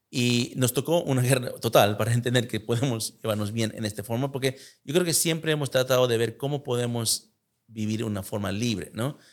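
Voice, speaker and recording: Here is a man with a normal speaking voice at a medium pitch. He talks at a fairly quick pace with ordinary pitch variation. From United States. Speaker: podcast host. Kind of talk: interview.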